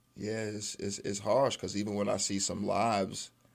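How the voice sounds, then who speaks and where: Recorded very cleanly against a silent background, a man with a New York accent speaks at a moderate pace in a fairly low pitch. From Brooklyn, New York. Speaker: father and former addict. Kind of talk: radio interview. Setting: studio.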